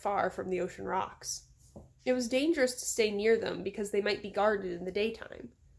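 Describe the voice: Plain reading aloud fills the clip, with pitch that varies in an ordinary way.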